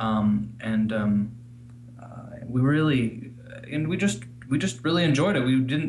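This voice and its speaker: With an American accent, a man talks at a moderate pace and medium pitch, his intonation lively over noticeable background noise. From Missouri, US. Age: 30s. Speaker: listener couple guest. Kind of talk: interview.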